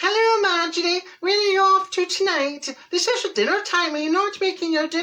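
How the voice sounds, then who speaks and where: A squeaky, put-on character voice. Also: female-sounding voice, extremely high pitch for a woman, moderate pace. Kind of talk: posh. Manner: polite.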